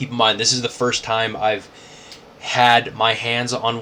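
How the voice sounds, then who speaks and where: At a fairly slow pace, a man speaks at a medium pitch against noticeable background noise. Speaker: toy collector YouTuber. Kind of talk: casual unboxing vlog. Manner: casual, filler-heavy; animated.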